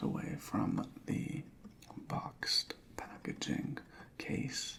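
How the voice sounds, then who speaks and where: A whispering man, relaxed in tone and very slow in pace, over noticeable background noise. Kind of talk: asmr roleplay inspection, soft spoken. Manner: soft-spoken, relaxed, with some whispering.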